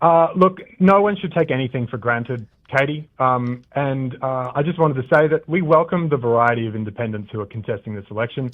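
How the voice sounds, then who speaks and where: A man with an Australian accent speaks at medium pitch. His pace is fairly quick and his intonation lively. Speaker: political candidate. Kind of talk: radio interview. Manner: scripted-sounding, formal.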